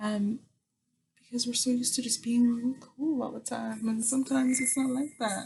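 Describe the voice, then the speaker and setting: A woman talks in a relaxed, somewhat breathy tone. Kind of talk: casual talk to camera. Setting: home recording while painting. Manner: soft-spoken, chatty, relaxed.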